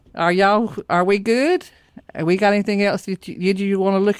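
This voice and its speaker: Talking at a very fast pace, a woman speaks at medium pitch in a Southern US accent. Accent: Southern US (Georgia). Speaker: podcast host. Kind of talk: casual chat.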